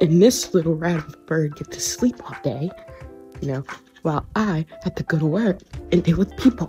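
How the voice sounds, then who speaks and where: Faint music plays in the background. The voice moves at a moderate pace with big swings in loudness. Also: woman, fairly low pitch for a woman. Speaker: vlogger. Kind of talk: casual vlog chat. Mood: relaxed, joking. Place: home room. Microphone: phone near.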